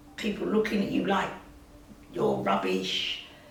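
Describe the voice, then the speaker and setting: A woman speaks with audible room echo and noticeable background noise. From England. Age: old. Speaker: interviewee in family documentary. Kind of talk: interview.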